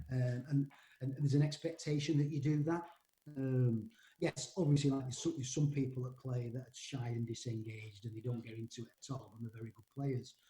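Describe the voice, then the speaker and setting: A man at a medium pitch talks fairly quickly with a dark, mellow, somewhat breathy tone, fairly even intonation and big swings in loudness. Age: 60s. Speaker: rugby league coach. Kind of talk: podcast interview. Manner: hesitant, many repetitions and fillers.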